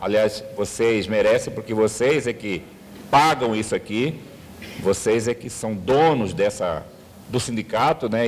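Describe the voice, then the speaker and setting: A fairly slow pace with ordinary pitch variation. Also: man. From Brazil, Mato Grosso. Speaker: university history professor. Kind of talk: lecture to union members. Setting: hotel event room with audience.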